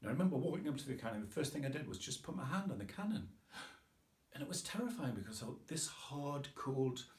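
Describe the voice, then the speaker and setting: A man with a Geordie accent speaks in a somewhat breathy voice, his pitch swinging very widely. There is audible echo from the room. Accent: northeastern English (Geordie). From northeast England, Tyneside. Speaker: author. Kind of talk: casual talk about his book. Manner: informal, with hesitations.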